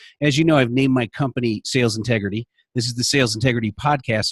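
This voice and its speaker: Somewhat breathy, a man talks very fast with ordinary pitch variation in a dry, close sound with no echo. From Illinois, Naperville (Chicago area). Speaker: sales coach and podcast host. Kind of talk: interview podcast. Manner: animated.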